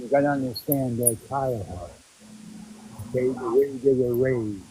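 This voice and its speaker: A man speaks quietly. Noticeable background noise is present. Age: 60s. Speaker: caller. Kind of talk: casual chat.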